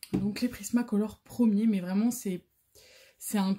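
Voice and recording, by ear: Her medium-pitched voice has a dark, mellow tone with a slightly husky edge, and the woman keeps her intonation fairly even.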